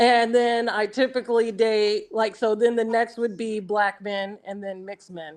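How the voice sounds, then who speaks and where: An ordinary speaking voice, a woman's, fairly high in pitch, at a fairly slow pace with an American accent. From US Midwest, Nebraska. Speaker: dating show guest. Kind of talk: casual chat.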